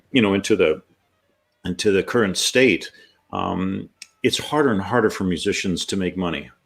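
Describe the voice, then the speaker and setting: A man with an American accent speaks at a moderate pace in a fairly low pitch, with ordinary pitch variation. He leaves long, frequent pauses while music plays in the background. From US Midwest (rural Ohio). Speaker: jazz trombonist and music professor. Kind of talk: interview. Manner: hesitant, many fillers.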